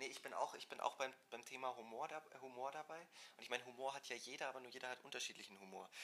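This man speaks at a very fast pace, his medium-pitched voice keeping a fairly even intonation. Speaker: hotel trainee and podcast co-host. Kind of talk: casual chat.

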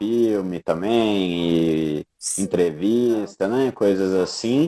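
Very slowly, a man speaks in a dark, mellow tone at a fairly low pitch with ordinary pitch variation. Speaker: podcast host and filmmaker. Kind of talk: interview. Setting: online live stream.

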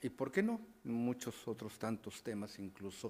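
Against a silent background in a very clean recording, a man talks in a plain, everyday voice at a medium pitch and a fairly slow pace. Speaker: radio news host. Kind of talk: radio talk show.

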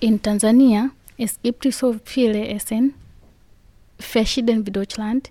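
A woman speaks very slowly in a dark, mellow tone at a fairly high pitch, the sound dry and close with no echo. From Tanzania. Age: 20s. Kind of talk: interview.

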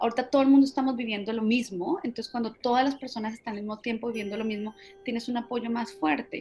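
Fairly high-pitched woman's voice with ordinary pitch variation, music in the background. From Colombia. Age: 40s. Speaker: marketing executive. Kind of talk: interview. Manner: halting, repeats words.

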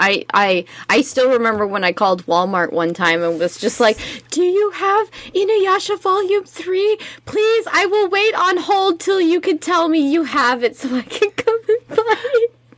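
Over noticeable background noise, a woman speaks at a moderate pace in an extremely high voice whose pitch swings very widely while her loudness stays very even. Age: 20s. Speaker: podcast co-host. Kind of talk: casual chat. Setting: live stream.

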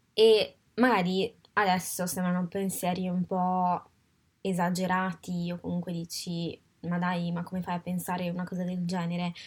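A woman speaks at a moderate pace in a somewhat breathy, medium-pitched voice with monotone, flat intonation, on a very clean recording with a silent background. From Italy. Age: 20s. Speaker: podcast host. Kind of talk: personal reflective monologue. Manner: halting, with frequent fillers.

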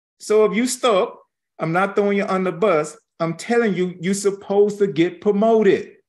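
A man's high-pitched voice at a moderate pace, with fairly even intonation against a quiet background. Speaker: Bible teacher. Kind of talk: sermon. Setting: live stream.

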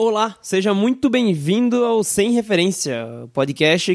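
A man talks with lively intonation. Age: 20s. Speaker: podcast host. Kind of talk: casual monologue. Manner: casual.

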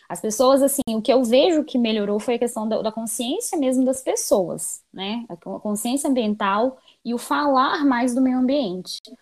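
With a Minas Gerais accent and a high pitch, a woman speaks at a fairly slow pace with hardly any pauses and ordinary pitch variation, in a very clean recording with a silent background. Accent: Brazilian Portuguese, mineiro. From Minas Gerais, Brazil (Belo Horizonte). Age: 20s. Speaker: environmental engineer. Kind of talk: casual interview.

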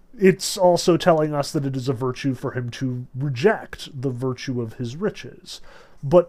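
Reading aloud, plain and simple

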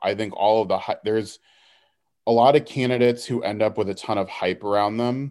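A man with an American accent speaks in a normal speaking voice at a medium pitch with fairly even intonation, in a very clean recording with a silent background. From Houston, Texas. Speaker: political organizer. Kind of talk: casual interview.

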